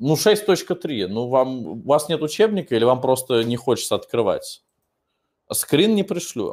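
Speaking at a fairly slow pace, a man with a fairly high pitch makes very wide pitch swings. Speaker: English teacher. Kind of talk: online lesson, Q&A. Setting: online video class. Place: classroom. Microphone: webcam.

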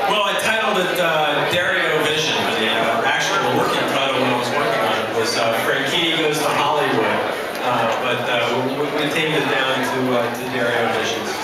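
Loud background noise and audible room echo fill the recording. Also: man, moderate pace. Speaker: motorsports artist who painted the donated piece. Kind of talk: interview answer at an event. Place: hall.

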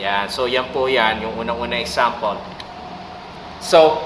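With noticeable background noise and audible room echo, a man speaks fairly slowly at a medium pitch. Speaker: Korean language teacher. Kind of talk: tutorial. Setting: office.

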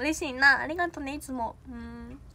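A woman's high, bright, sharp voice in a Kansai accent, animated in tone, with ordinary pitch variation. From Osaka. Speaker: idol trainee; idol trainee livestreamer. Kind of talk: livestream chat with viewers. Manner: fast. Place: home room. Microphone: phone near.

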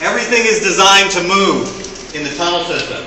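A man with a high pitch talks at a moderate pace and fairly even intonation. Audible room echo and noticeable background noise fill the recording. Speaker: tunnel tour guide. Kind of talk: guided tour explanation. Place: tunnel cave. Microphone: camera far.

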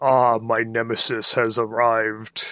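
Using a put-on character voice, a man speaks at a medium pitch, fairly slowly, in a monotone, flat intonation. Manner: menacing, put-on villain voice.

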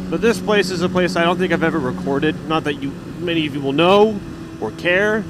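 Loud background noise runs under a dry recording with no echo. A man speaks at a fairly quick pace. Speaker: motovlogger. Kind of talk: casual vlog chat. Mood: relaxed, reflective. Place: motorbike. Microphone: helmet.

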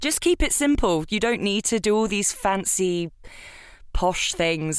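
A woman with a British accent, lively intonation and a moderate pace, on a very clean recording with a silent background. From UK. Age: young. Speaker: voice actor. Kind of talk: casual chat.

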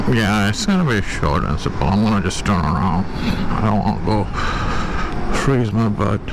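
At a moderate pace and with ordinary pitch variation, the speech has a dry sound with no echo and noticeable background noise. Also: man. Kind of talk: casual vlog chat. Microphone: helmet.

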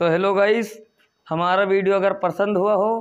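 Fairly even intonation marks the speech of a man with a high pitch. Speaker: comedy skit actor. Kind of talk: acted skit dialogue in rural dialect; vlog outro. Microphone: lapel.

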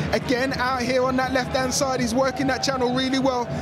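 Very fast speech against crowd noise in the background. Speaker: football co-commentator. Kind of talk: co-commentator analysis, explaining the play. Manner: conversational, measured, analytical.

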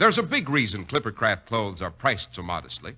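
A man talks with a bright, sharp tone and very wide pitch swings. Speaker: radio announcer. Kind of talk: radio commercial and announcer narration. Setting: studio. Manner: smooth, polished, formal sales-pitch delivery. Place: studio. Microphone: old recording.

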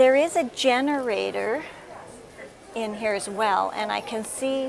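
This is a woman speaking. Noticeable background noise sits behind her voice. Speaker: RV reviewer. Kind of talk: casual tour commentary. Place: hall. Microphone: lapel.

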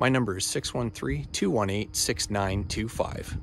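A man's fairly low voice in a dry sound with no echo, with faint music in the background. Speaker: yacht salesman. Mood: friendly, upbeat. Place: waterside. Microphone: phone near.

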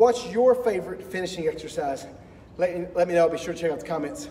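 A man talks at a very fast pace with lively intonation. Light background noise can be heard. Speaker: guitar teacher giving a fitness tip. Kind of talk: tutorial. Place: gym. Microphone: camera far.

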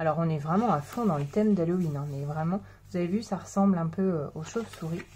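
A woman talks in a fairly low pitch with a dark, mellow tone and ordinary pitch variation. Her voice is somewhat breathy. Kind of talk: tutorial.

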